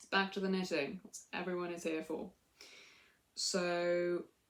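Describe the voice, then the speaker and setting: A woman speaks with a British accent. Her intonation stays monotone and flat. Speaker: knitting podcaster. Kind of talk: casual chat.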